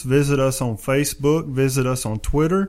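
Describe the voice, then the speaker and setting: A fairly high-pitched male voice with a Southern US accent, fairly even intonation, and a very clean recording over a silent background. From West Tennessee. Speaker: podcast host. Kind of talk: casual interview. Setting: studio.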